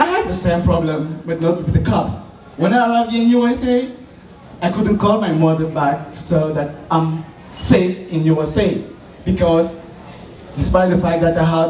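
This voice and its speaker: Someone with a Cameroonian French accent talks fairly slowly with ordinary pitch variation, with audible room echo and noticeable background noise. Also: man. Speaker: student entrepreneur. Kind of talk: business pitch. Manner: halting.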